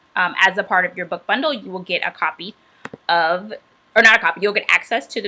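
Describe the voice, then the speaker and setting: With an American accent, a woman speaks at a fairly quick pace and a medium pitch. Background noise is noticeable. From Atlanta, US South. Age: 30s. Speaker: chef and cookbook author. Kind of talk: livestream book launch talk. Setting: livestream. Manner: casual, relaxed.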